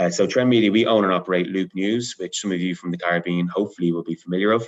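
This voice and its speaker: A man with an Irish accent and a fairly low pitch talks at a very fast pace. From Ireland. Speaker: media company manager. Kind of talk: panel discussion.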